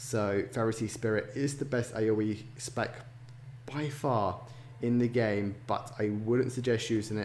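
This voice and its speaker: The man's voice is medium in pitch and somewhat breathy. His intonation is monotone and flat. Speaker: gaming YouTuber. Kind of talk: tutorial. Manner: quieter than usual. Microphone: poor sound quality.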